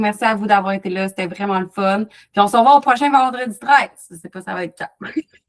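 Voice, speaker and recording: Big swings in loudness mark this woman's speech, which has a medium pitch, ordinary pitch variation and a fairly quick pace. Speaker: wellness coach. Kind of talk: live online workshop Q&A. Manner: fast; animated.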